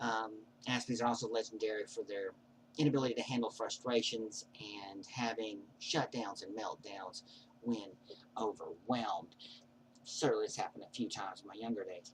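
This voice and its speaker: A man's voice with big swings in loudness, fairly even intonation and a moderate pace. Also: medium pitch for a man. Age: 40s. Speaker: vlogger. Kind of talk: personal monologue. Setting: webcam recording. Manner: odd prosody.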